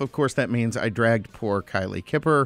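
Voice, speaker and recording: A man talks at a fairly quick pace with ordinary pitch variation. The sound is dry with no echo, and faint music plays in the background. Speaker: radio show host. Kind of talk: talk radio host introduction. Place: studio. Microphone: studio mic.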